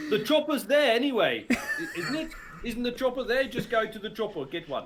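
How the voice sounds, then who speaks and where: Over noticeable background noise, a man with an extremely high pitch talks at a fairly quick pace with lively intonation. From England. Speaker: voice actor. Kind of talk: casual interview. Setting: livestream, at mother's house, not in studio.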